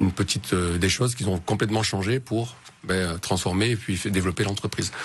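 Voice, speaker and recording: Here a man talks at a fairly low pitch and a fairly quick pace. His intonation stays fairly even. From southern France (Marseille, Hautes-Alpes). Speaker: entrepreneur, consultant. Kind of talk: radio interview. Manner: hesitant, many fillers.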